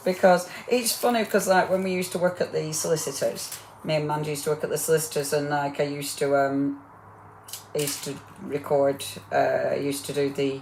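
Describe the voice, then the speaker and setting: A woman speaks with a very deep, low pitch at a fairly quick pace. Noticeable background noise can be heard. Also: ordinary pitch variation. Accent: northern English. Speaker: crafting demonstrator. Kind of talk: live crafting demo. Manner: chatty, rambling.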